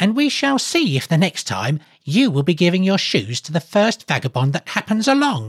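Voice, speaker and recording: A put-on character voice at a middle pitch, very wide pitch swings, a moderate pace and hardly any pauses. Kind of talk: storybook reading. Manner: scornful, mocking, wrathful.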